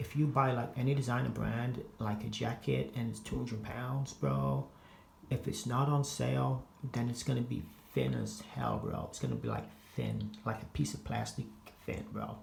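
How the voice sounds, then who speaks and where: With an American accent, a man talks at a moderate pace amid audible room echo and noticeable background noise. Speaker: fashion and gaming vlogger. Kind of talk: casual vlog. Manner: halting, many repetitions and filler words; casual slangy delivery.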